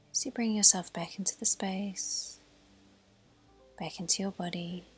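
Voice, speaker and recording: A woman's calm voice with fairly even intonation and big swings in loudness, music in the background. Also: medium pitch for a woman. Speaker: yoga teacher. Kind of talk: guided yoga class instruction. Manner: soft, slow, calm.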